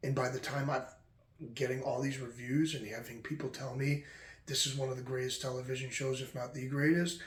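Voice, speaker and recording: A man speaks in a flat, monotone voice at a fairly quick pace, quiet and somewhat breathy at a medium pitch. Room echo is audible around him. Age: 20s. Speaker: podcast host. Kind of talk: casual monologue. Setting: at home late at night.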